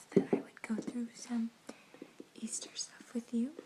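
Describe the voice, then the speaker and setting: Soft-spoken and flat in intonation, a woman talks at a fairly high pitch over noticeable background noise. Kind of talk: casual talk to camera, ASMR.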